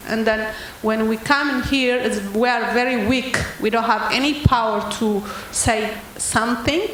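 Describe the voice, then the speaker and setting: Amid noticeable background noise and audible room echo, a woman speaks in a monotone, flat manner at a fairly high pitch and moderate pace. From Ethiopia. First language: not English. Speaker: audience member asking a question. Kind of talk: audience question at panel event. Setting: public event with audience. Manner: halting.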